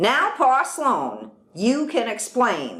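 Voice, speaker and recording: A woman puts on a character voice, high-pitched and swinging very widely in pitch. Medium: read story. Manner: stern, blunt.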